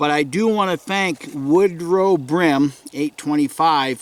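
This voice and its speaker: Speaking with a New England accent at a fairly slow pace, a man shows ordinary pitch variation in a dry, close sound with no echo. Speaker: outdoorsman vlogger. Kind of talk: casual vlog update. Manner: hesitant, many fillers.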